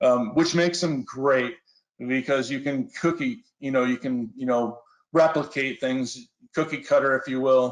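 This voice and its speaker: A man's plain, everyday voice at medium pitch, with fairly even intonation and a fairly slow pace. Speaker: industrial flame sensor application specialist. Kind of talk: technical webinar presentation. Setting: online webinar.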